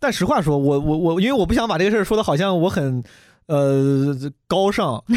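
A man's high, lively voice at a fairly quick pace on a very clean recording with a silent background. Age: 30s. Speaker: stand-up comedian. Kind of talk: casual chat. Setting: studio. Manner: fast.

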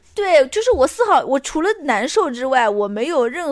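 A woman is speaking. Her pitch swings very widely. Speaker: podcast co-host. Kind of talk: casual chat. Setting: recording lying down.

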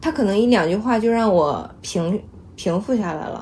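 With lively intonation and a fairly high pitch, a woman speaks over noticeable background noise. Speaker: data platform programmer. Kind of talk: casual chat. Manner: loud.

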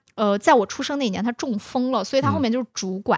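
This woman speaks at a high pitch. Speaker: podcast co-host. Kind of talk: casual chat.

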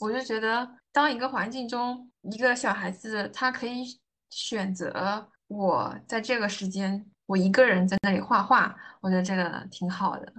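A woman with a normal speaking voice talks at a fairly slow pace, her pitch fairly high with ordinary variation. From Anhui, China. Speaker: logistics planner, former gap traveler. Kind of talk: interview conversation.

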